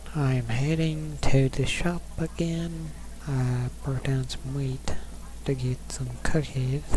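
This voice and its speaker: Over noticeable background noise, a man talks at a very slow pace. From rural US. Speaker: Minecraft youtuber. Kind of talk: casual gameplay commentary. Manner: casual, rambling.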